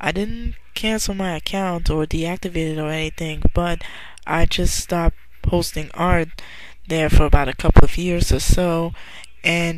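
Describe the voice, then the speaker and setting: A soft-spoken woman with a fairly low voice shows big swings in loudness over noticeable background noise. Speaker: online artist. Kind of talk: casual vlog monologue. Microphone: quiet, listeners told to raise volume.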